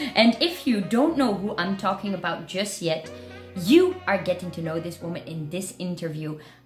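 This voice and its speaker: Music plays in the background as a woman talks at a moderate pace, her pitch medium with ordinary variation. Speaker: burlesque show host. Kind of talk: casual video interview host. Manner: playful, upbeat.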